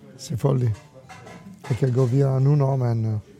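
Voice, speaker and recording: A man with an Italian accent talks at a fairly slow pace over noticeable background noise. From Italy. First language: Italian (speaking Danish). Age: 60s. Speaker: restaurateur. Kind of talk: interview. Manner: halting with many fillers.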